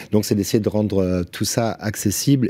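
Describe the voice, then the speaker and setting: This man speaks fairly quickly in a fairly low pitch, his tone dark and mellow and his intonation fairly even. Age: 50s. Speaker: roofer and business owner; podcast guest, craftsman influencer. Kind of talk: casual chat. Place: studio. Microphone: studio mic.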